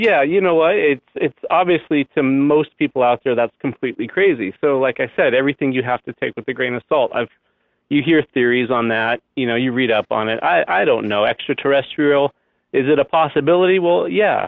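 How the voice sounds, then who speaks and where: Fairly high male voice with lively intonation at a fairly quick pace. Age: 40s. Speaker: caller, librarian. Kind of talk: call-in conversation. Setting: phone call. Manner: halting.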